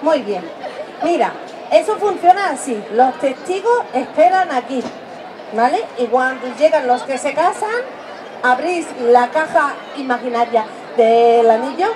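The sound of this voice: Lively intonation runs through a slightly mellow tone at a fairly slow pace. Faint background noise and faint crowd noise sit behind the voice. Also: woman, high pitch for a woman.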